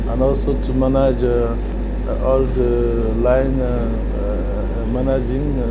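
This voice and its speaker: Loud background noise runs behind this recording. A man speaks at a very slow pace. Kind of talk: interview answer. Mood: friendly, smiling.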